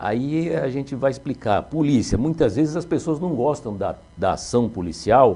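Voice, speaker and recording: With vocal fry and a dark, mellow tone, a man talks at a moderate pace with lively intonation and hardly any pauses. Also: medium pitch for a man. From São Paulo, Brazil. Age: 60s. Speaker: retired police officer, municipal security official. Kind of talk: interview. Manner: hesitant, with fillers.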